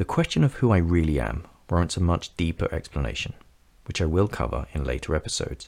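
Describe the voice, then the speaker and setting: A man's very deep, low voice at a fairly quick pace, with lively intonation. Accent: London. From North London, England. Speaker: podcast host, psychic medium and coach. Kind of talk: scripted narration.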